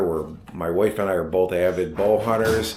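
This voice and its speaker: Audible room echo surrounds a man with an American accent who talks at a fairly slow pace in a fairly low pitch. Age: 60s. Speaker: vlogger and equipment business owner. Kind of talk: casual vlog introduction. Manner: halting, many fillers.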